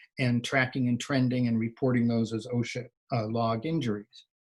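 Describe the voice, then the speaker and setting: A man speaks in a somewhat breathy voice. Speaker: occupational hygienist presenter. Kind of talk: webinar presentation. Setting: online webinar.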